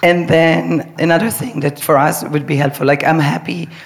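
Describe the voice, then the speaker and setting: Against noticeable background noise, a woman with a very deep, low pitch speaks at a moderate pace with lively intonation. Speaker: choreographer. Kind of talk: live panel discussion.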